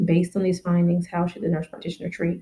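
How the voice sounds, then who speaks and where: A woman speaks in a fairly low pitch with a dark, mellow tone. Vocal fry runs through her voice. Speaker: family nurse practitioner. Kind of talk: educational exam-prep teaching to camera. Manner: casual, friendly.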